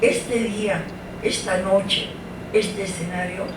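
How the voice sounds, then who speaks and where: Noticeable background noise and audible room echo surround a woman. She speaks at a fairly slow pace with a medium pitch. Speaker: actress. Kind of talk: speech at a book launch. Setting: stage with audience.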